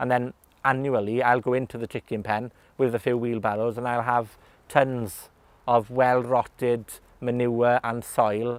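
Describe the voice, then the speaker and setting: A man speaks with a Welsh accent. His intonation is monotone and flat. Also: medium pitch for a man. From West Wales. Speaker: gardener. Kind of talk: casual interview talk. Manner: hesitant, many fillers.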